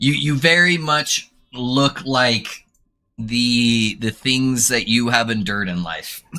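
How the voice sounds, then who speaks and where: Speaking at a medium pitch, a man with an American accent has a bright, sharp tone. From USA. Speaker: game streamer. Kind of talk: casual live stream chat. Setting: live stream with webcam. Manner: calm, soothing when explaining.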